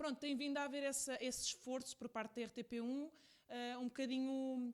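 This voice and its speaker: Speaking at a fairly quick pace with a European Portuguese accent, a woman keeps a high pitch, very even loudness and a monotone, flat intonation. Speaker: podcast host. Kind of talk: podcast interview.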